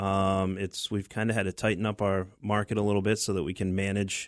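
This is a plain, everyday voice from a man with an American accent, pitched fairly low. He talks at a fairly quick pace in a very clean recording with a silent background. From southern Maine, US. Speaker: remodeling contractor. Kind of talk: radio interview.

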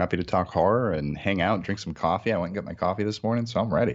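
With an American accent, this speaker rushes along at a very fast pace with hardly any pauses and lively intonation. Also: man. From Massachusetts, New England. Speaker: film director and producer. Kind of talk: interview. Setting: video call. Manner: mumbling.

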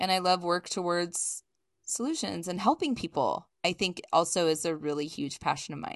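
A woman with an American accent has a fairly low pitch and an unremarkable speaking voice, moving at a moderate pace with ordinary pitch variation. The background is quiet, and the sound is dry and close with no echo. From US East Coast. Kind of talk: casual interview.

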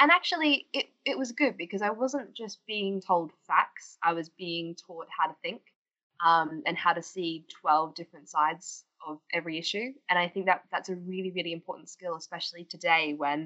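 Speaking with an Australian accent, a woman with a fairly low pitch keeps a moderate pace, ordinary pitch variation and big swings in loudness. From Australia, Queensland. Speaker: political campaigner. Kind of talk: podcast interview. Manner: animated.

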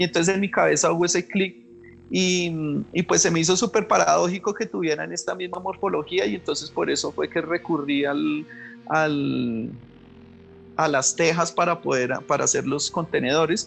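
A man's moderate-paced speech with music in the background. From Bogotá, Colombia. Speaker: visual artist. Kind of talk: interview. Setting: remote from his studio. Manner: halting, many fillers and repetitions.

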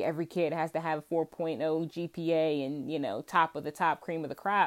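The speaker talks at a moderate pace with a slight Southern US accent. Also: woman. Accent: Southern US, slight twang. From Virginia, US South. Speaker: podcast host, homemaker and mom. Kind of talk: casual solo monologue.

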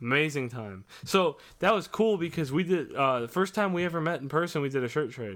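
A man with an American accent speaks at a fairly high pitch with lively intonation, in an unremarkable speaking voice. The recording is very clean, with a silent background. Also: fairly quick pace, hardly any pauses. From Indiana. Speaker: podcast host and musician. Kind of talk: casual chat.

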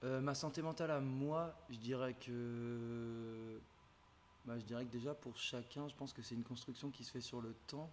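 A man talks in a plain, everyday voice at medium pitch. He goes at a fairly slow pace with fairly even intonation. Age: 20s. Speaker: business student. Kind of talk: casual chat.

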